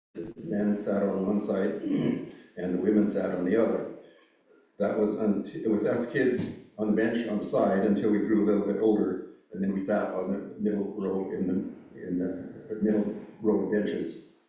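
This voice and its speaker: Audible room echo surrounds a man whose fairly low pitch and dark, mellow tone come with fairly even intonation and long, frequent pauses. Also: moderate pace. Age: 70s. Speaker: church elder. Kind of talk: reminiscence speech. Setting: church service with audience. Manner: halting, many fillers.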